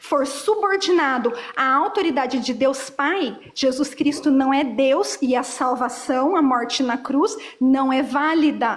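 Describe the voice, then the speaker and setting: Over noticeable background noise, a woman speaks in a high voice with ordinary pitch variation. Her loudness stays very even. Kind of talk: heated debate.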